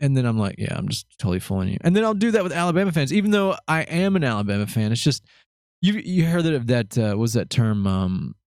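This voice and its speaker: On a very clean recording with a silent background, a man with a slight Southern US accent speaks with lively intonation. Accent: slight Southern twang. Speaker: podcast host. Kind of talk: casual chat.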